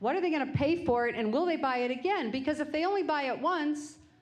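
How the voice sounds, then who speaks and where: A woman talks at a fairly quick pace with lively intonation. Audible room echo surrounds her voice. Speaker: business owner. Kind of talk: lecture. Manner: loud.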